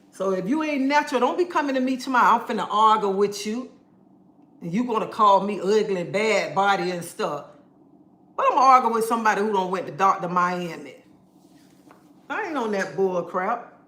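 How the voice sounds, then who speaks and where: Fairly quick yet with long, frequent pauses, a woman with a fairly high pitch talks in an animated tone and lively intonation, over noticeable background noise and audible room echo. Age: 50s. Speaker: live streamer. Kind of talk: casual livestream chat, reading comments.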